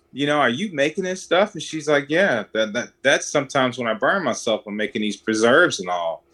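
Bright and sharp in tone, a man speaks with a Mississippi accent. His intonation is lively and the background is quiet. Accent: Southern US (Mississippi). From US South, Mississippi (Edwards, near Jackson). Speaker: chef. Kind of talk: casual interview.

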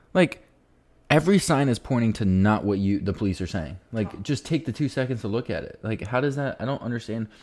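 A man with a normal speaking voice, medium pitch, lively intonation and a fairly quick pace. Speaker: podcast co-host. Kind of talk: casual chat. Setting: recorded at home while watching a game.

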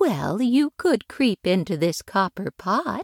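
A put-on character voice that sounds female, fairly high in pitch, at a fairly slow pace with very wide pitch swings. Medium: read story. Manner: gentle, motherly.

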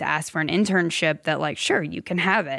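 Hers is a plain, everyday voice: a woman with an American accent speaking at a moderate pace in a fairly low pitch, on a very clean recording with a silent background. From US South, upstate South Carolina. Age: 30s. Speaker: music publisher. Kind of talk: interview storytelling.

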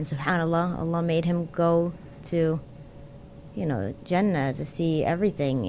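A woman with an American accent and a plain, everyday voice speaks at a moderate pace, fairly low in pitch with ordinary pitch variation. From Connecticut, US (Waterbury), Yemeni family. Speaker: social media creator and fundraiser. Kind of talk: casual interview.

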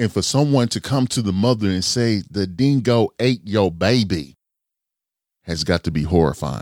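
This man has a normal speaking voice with a fairly low pitch. His intonation is lively and his pace moderate. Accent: American. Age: 40s. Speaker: podcast host. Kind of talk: casual chat.

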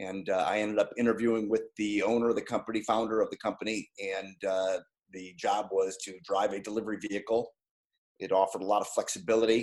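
Very fast and monotone, a man with an American accent speaks at a fairly low pitch in flat intonation. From Ohio, Cleveland area. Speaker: Navy veteran and IT sales professional. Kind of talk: interview.

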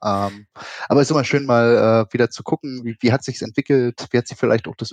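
A man speaks very fast at a medium pitch, his intonation fairly even and the sound dry and close with no echo. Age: 30s. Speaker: esports association official. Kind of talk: casual interview.

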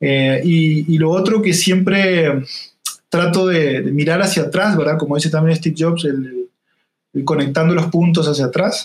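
A man talks at a fairly slow pace with a fairly high voice. His loudness stays very even, and his intonation is fairly even too. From Uruguay, Salto (interior). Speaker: UX design consultant. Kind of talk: interview. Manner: halting, many repetitions and fillers.

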